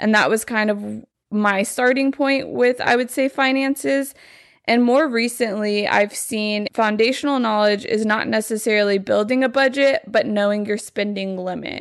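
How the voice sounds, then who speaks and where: This woman has a fairly high voice with ordinary pitch variation and speaks at a moderate pace. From Texas, Lubbock. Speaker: podcast host. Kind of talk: casual chat.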